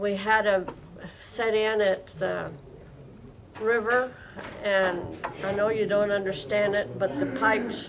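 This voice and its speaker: At a fairly slow pace, a woman with an American accent speaks with fairly even intonation, with audible room echo and noticeable background noise. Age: 70s. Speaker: farmer. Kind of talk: casual chat.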